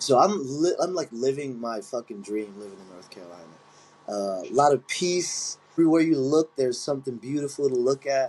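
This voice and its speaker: A medium-pitched man with a Philadelphia accent, lively intonation and big swings in loudness. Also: fairly quick pace. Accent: Philadelphia-area American. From Chester, Pennsylvania (Philadelphia area). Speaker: Muay Thai fighter and coach. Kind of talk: casual interview chat.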